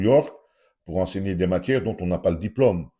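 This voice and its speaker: With a very deep, low pitch and a dark, mellow tone, a man speaks in lively intonation with vocal fry. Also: very clean recording, silent background. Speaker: YouTuber commentator. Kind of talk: opinion vlog monologue. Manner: animated, rhetorical questioning.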